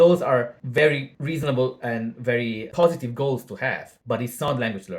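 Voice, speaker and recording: This man has a non-native accent, a medium pitch and ordinary pitch variation. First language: not English. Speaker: language learning YouTuber. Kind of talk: casual video monologue. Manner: casual with filler words.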